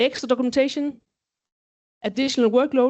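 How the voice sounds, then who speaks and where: A woman with a high pitch. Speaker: quality management lead. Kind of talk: conference presentation. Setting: stage with audience. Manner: fast.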